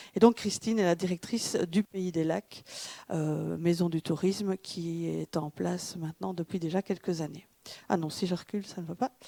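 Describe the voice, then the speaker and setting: Heard in a dry, close sound with no echo, a woman with a Belgian accent speaks at a moderate pace in a fairly low, dark, mellow voice with fairly even intonation. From Belgium, Wallonia. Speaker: tourism consultant. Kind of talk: conference presentation. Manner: halting, many hesitations.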